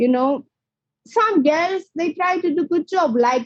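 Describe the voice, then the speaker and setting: In a dry, close sound with no echo, a woman with a non-native accent speaks at a fairly slow pace. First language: not English. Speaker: professional boxer. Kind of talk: interview. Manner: animated.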